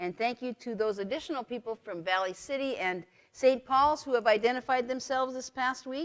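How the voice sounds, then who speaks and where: A woman's ordinary speaking voice, fairly quick in pace, with lively intonation. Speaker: pastor. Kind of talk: lecture. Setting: church live stream.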